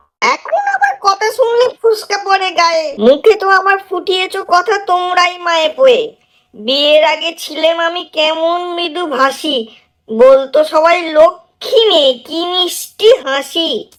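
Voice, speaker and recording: Putting on a character voice, a woman talks at an extremely high pitch and fairly slow pace with lively intonation. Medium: read story. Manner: complaining, sharp.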